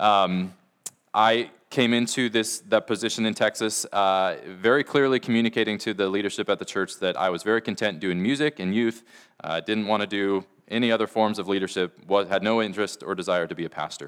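Recorded very cleanly against a silent background, a man with an American accent has a plain, everyday voice, fairly low in pitch, with fairly even intonation. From US Pacific Northwest (Washington). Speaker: pastor. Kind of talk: sermon.

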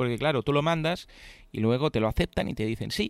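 The speaker is a man. The recording is very clean with a silent background and a dry, close sound with no echo. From Catalonia. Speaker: podcast host. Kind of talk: casual chat. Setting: hotel room. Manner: fast.

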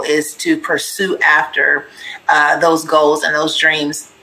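A woman with a very deep, low pitch speaks over noticeable background noise. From US West Coast, Pasadena area, California. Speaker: business owner and author. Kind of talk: interview.

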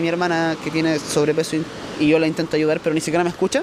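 Over noticeable background noise, a man speaks very fast in a fairly high pitch. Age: 20s. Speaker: podcaster. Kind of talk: casual monologue. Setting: outdoors at the beach.

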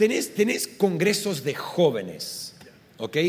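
Using lively intonation, a man speaks at a very slow pace with a high pitch. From Argentina. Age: 40s. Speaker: pastor. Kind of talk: live podcast conversation. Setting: live recording at a conference.

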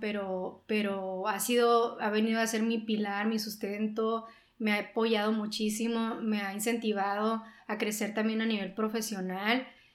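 A woman speaks slowly, somewhat so, in a fairly high, flat monotone, with audible room echo around her. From Sonora, Mexico. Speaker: journalist and newspaper co-founder. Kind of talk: interview.

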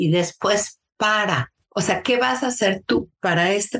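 A woman with a Mexico City accent speaks at a fairly slow pace. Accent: Mexican Spanish (Mexico City). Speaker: early childhood educator and teacher coach. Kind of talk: interview.

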